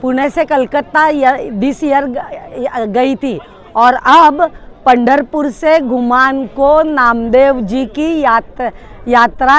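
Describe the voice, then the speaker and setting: Amid noticeable background noise, a woman talks in a high pitch with ordinary pitch variation. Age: 70s. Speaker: retired mathematics professor, cyclist. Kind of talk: interview. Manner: halting.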